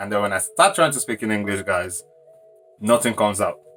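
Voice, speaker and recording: A man speaks with music in the background. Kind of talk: casual storytime to camera.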